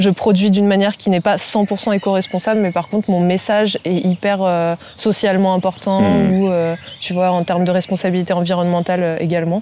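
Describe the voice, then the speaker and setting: Against noticeable background noise, a woman with a medium pitch speaks fairly quickly in a monotone, flat intonation at very even loudness. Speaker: freelance graphic designer. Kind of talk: casual interview.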